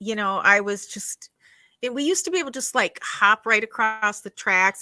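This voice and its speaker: A woman's medium-pitched voice, bright and sharp, at a moderate pace, with a dry, close sound free of echo and a very clean recording over a silent background. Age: 60s. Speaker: skincare specialist and podcast co-host. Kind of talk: casual chat. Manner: halting, many fillers and restarts.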